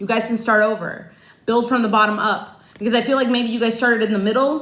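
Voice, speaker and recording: Fairly brisk speech from a woman, with background noise clearly audible throughout. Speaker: tarot card reader. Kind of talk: personal tarot reading. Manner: loud; passionate, animated.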